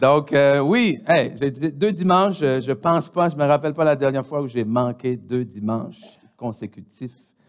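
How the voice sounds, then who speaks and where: The speaker talks in a Quebec accent at a fairly slow pace with lively intonation. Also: man, fairly high pitch for a man. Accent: Québécois. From DR Congo. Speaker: pastor. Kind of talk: church announcements. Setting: church. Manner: halting, many hesitations.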